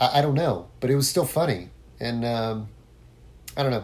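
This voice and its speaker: A man talks at a moderate pace in a dark, mellow tone, with ordinary pitch variation. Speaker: podcast host, former musician. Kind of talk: solo podcast monologue. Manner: casual, with many fillers and false starts.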